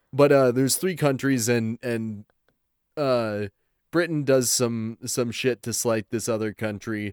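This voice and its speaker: In a very clean recording with a silent background and a dry, close sound with no echo, a man with a plain, everyday voice talks fairly slowly at a medium pitch with ordinary pitch variation. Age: 20s. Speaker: podcast co-host and voice actor. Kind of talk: casual chat.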